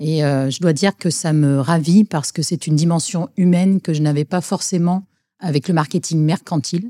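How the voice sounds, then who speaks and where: A woman with a fairly low pitch and ordinary pitch variation speaks in a dark, mellow tone, the sound dry and close with no echo on a very clean recording with a silent background. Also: moderate pace. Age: 40s. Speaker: marketing director. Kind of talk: interview.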